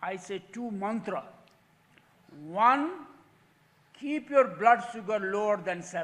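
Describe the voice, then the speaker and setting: Speaking at a very slow pace with long, frequent pauses, a man with a Nepali accent uses a high pitch, ordinary pitch variation, and big swings in loudness. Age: 80s+. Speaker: patient with lived experience, diabetic. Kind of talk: testimony.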